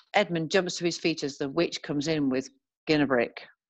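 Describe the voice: Speaking at a moderate pace, a woman has a low pitch. Her pitch variation is ordinary.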